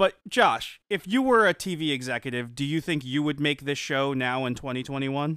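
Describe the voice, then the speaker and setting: With an ordinary speaking voice, a man speaks at a fairly high pitch and a moderate pace, using ordinary pitch variation and hardly any pauses. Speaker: podcast host. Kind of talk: casual chat.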